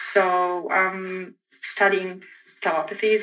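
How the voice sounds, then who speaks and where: A woman speaks with an Egyptian accent at a medium pitch. Music plays in the background. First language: Arabic. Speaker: PhD student and lecturer. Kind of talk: interview testimony.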